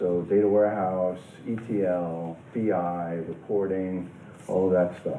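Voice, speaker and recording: A man in a New York accent speaks with audible room echo and noticeable background noise. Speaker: company president and conference speaker. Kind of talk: conference presentation. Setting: conference room with audience.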